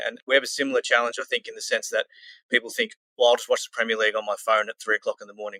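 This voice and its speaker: This man speaks with an Australian accent. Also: dry, close sound with no echo. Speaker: football club community manager. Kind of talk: podcast interview.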